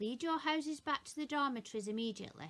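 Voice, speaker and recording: A woman uses a put-on character voice, raised and projected at a high pitch. She talks at a very fast pace. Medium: read story. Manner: commanding.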